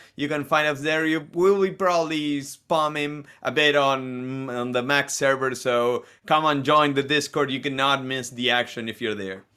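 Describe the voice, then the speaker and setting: A man speaks with a Spanish accent at a fairly high pitch. His tone is bright and sharp, and his intonation fairly even. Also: moderate pace, hardly any pauses. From Argentina. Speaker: esports caster. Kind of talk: live commentary.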